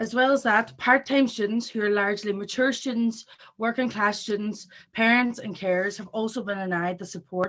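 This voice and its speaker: A woman speaks fairly quickly with a Northern Irish accent. Her voice is fairly high, and her intonation stays fairly even. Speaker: students' union president. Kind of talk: rally speech. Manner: fast. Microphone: patchy internet connection.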